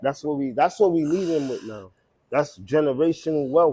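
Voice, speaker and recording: In a Brooklyn accent, a man speaks with lively intonation at a fairly high pitch. His pace is moderate. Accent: New York, Brooklyn. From Brooklyn, New York. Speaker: clothing brand owner. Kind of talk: casual chat.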